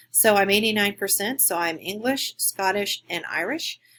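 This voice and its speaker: A woman's bright, sharp tone with a Midwestern American accent at a moderate pace, on a very clean recording with a silent background. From western Kansas (Garden City). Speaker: graduate student. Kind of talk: recorded class presentation. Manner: halting.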